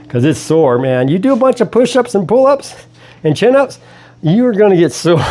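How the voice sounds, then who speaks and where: Here a man speaks with a high pitch and very wide pitch swings. His loudness stays very even over noticeable background noise. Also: fairly quick pace. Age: 60s. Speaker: fitness vlogger. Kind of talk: casual workout vlog. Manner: breathy exclamations between sets.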